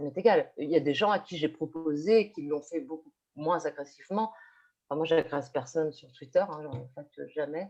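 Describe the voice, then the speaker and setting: The tone is dark and mellow. The loudness swings widely. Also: woman, very deep, low pitch for a woman, ordinary pitch variation, moderate pace. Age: 50s. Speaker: teacher. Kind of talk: online panel discussion. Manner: halting, many fillers and repetitions.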